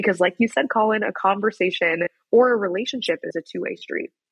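An American-accented woman's fairly quick delivery. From US Midwest, Wichita, Kansas. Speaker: founder of a youth education platform. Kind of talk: interview.

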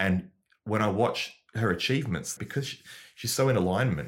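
Somewhat breathy delivery at a fairly quick pace, with ordinary pitch variation. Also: man, very clean recording, silent background. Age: 40s. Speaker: comedian. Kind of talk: casual chat.

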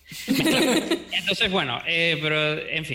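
The speaker is a man. He has a bright, sharp tone. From Venezuela. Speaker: 3D modeling teacher. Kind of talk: interview.

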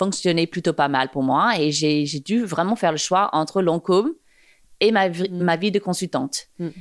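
Recorded very cleanly against a silent background, the voice has an American accent and ordinary pitch variation. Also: woman. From New York area, US (Montclair, New Jersey). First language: English (speaking French). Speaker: fashion and digital communication entrepreneur. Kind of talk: casual interview. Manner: halting, many hesitations.

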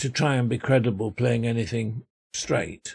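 A somewhat breathy man's voice with a Yorkshire accent, medium in pitch with ordinary variation, at a fairly slow pace, in a dry, close sound with no echo. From Yorkshire, England. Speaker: actor. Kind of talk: interview. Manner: hesitant, many fillers.

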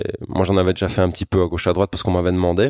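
A man speaks with a very deep, low pitch. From Germany. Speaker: sign painter and graffiti artist. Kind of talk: casual chat.

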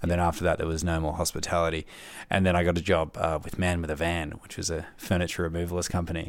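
In a very clean recording with a silent background, a man with a very deep, low pitch speaks at a very fast pace in a monotone, flat intonation. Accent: Australian. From Melbourne, Australia. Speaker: public service graduate. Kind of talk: casual chat. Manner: halting, many fillers and repeats.

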